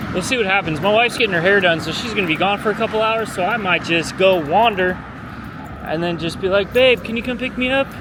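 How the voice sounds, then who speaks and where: Over noticeable background noise, a man with a Southern California accent talks at a very fast pace in a high pitch with ordinary pitch variation. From Southern California (Long Beach). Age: 30s. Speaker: vlogger. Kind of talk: casual vlog talk. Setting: outdoors, walking. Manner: casual, laid-back.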